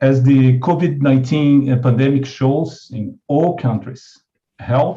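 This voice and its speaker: A man's somewhat breathy voice, medium in pitch, with a dark, mellow tone, ordinary pitch variation and a Brazilian Portuguese accent. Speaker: international NGO leader, keynote speaker. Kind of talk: keynote speech. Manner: halting, many fillers and restarts.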